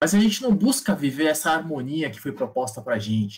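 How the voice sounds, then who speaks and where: A somewhat breathy man at a moderate pace, with lively intonation. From São Paulo, Brazil, Taiwanese descent. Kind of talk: casual chat. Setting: live stream.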